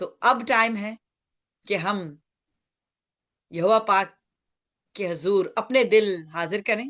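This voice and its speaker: Against a quiet background, a woman talks with a medium pitch and ordinary pitch variation. She leaves long, frequent pauses. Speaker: pastor. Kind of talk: sermon.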